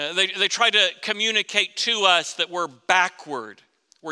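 A man with a Southern US accent speaks in a raised, projected voice at a high pitch. His tone is bright and sharp, with ordinary pitch variation. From Florida. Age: 50s. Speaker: pastor. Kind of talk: sermon.

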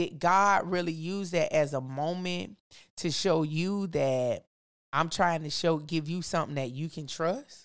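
The voice has an animated tone and ordinary pitch variation, on a very clean recording with a silent background. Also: woman, fairly low pitch for a woman, fairly slow pace. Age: 40s. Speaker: teacher and podcast guest. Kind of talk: casual chat about faith.

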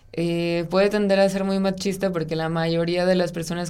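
A woman with a fairly low pitch and a dark, mellow tone speaks amid audible room echo. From Mexico, Sonora (Ciudad Obregón). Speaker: architect. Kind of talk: interview conversation.

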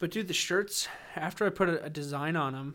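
A man with an unremarkable speaking voice and a fairly high pitch talks at a fairly quick pace on a very clean recording with a silent background. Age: 20s. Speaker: podcast host and army veteran. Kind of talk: casual chat. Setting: makeshift home studio.

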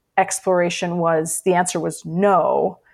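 A woman with a plain, everyday voice, medium pitch, and fairly even intonation. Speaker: author. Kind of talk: interview.

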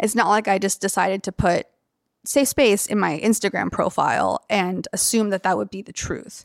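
A woman with a plain, everyday voice and an American accent, medium pitch, ordinary pitch variation, a moderate pace, and big swings in loudness, on a very clean recording with a silent background. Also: dry, close sound with no echo. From US South, Athens, Georgia. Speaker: tattoo artist. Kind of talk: interview.

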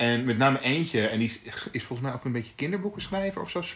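A man's plain, everyday voice at medium pitch with lively intonation. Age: 40s. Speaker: podcast co-host. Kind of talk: casual chat. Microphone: poor amateur sound in early episode.

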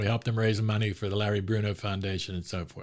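A man with an American accent speaks at a very fast pace and a fairly low pitch. The recording is very clean, with a silent background. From Pittsburgh, Pennsylvania. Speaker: sports author. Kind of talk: casual interview. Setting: studio.

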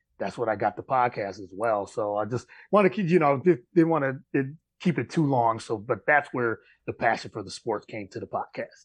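A man with an American accent and a normal speaking voice talks at a fairly quick pace and a medium pitch. His intonation is lively, his loudness swings widely, and the background is quiet. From upstate New York. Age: 40s. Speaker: sports podcast host. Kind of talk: interview.

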